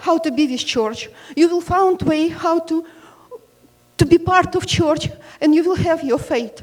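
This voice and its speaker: A woman with a non-native accent speaks at a fairly slow pace and an extremely high pitch. Her intonation is lively, and there is noticeable background noise. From Ukraine. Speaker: parishioner. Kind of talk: testimony at Q&A. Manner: halting.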